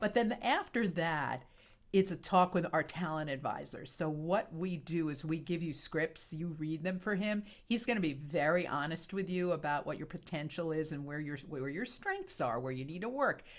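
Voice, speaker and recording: A woman with a fairly low pitch and ordinary pitch variation at a moderate pace, in an ordinary speaking voice. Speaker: voice actor. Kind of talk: interview answer.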